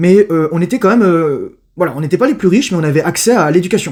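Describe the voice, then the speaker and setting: Very fast, lively-intoned male speech. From Paris, France. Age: 30s. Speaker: youtuber. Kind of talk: casual interview. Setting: at home.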